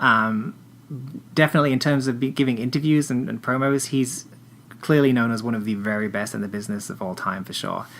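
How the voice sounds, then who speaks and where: Speaking with an English accent, a man's voice sits at a medium pitch. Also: ordinary pitch variation, fairly quick pace. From England. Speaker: wrestling fan. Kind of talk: casual interview chat. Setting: podcast recording. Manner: halting, many false starts.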